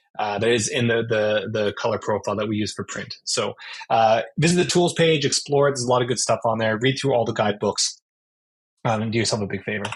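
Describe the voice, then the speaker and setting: With an American accent, a man speaks very fast at a medium pitch. His voice is somewhat breathy, with ordinary pitch variation. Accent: sounds American. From Canada. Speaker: board game manufacturing project manager. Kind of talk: interview with slide presentation. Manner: many fillers and restarts.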